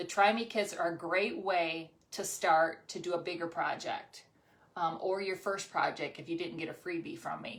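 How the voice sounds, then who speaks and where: A woman speaks at a fairly low pitch. Her pace is moderate and her intonation fairly even. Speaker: crafting channel host and seller. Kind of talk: craft tutorial livestream with product pitch. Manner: casual, hesitant with many ums.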